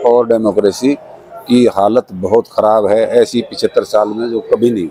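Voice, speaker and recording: A man keeps a moderate pace as noticeable background noise plays behind him. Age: 60s. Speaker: social activist interviewee. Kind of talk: interview.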